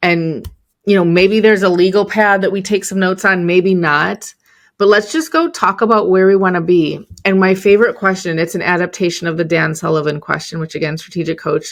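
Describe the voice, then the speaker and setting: A woman talks at a fairly quick pace against a quiet background. Her medium pitch follows fairly even intonation. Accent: Chicago. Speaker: entrepreneur and business coach. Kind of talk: podcast interview. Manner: casual, with frequent fillers.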